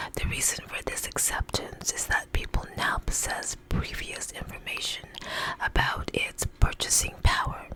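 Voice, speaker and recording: Whispering at a fairly slow pace amid noticeable background noise. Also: woman. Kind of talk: ASMR article reading. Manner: whispered.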